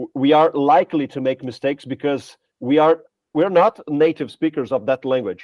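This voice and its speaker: A man with a Portuguese accent talks at a moderate pace with ordinary pitch variation. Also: fairly high pitch for a man. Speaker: language teacher, podcast co-host. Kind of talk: casual podcast chat. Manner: halting, many fillers and restarts.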